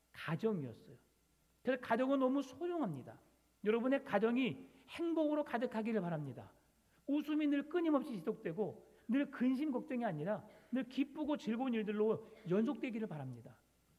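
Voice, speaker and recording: Lively intonation and a dark, mellow tone run at a fairly quick pace. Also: man, extremely high pitch for a man. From South Jeolla, near Gyeongsang border. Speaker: pastor. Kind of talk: sermon.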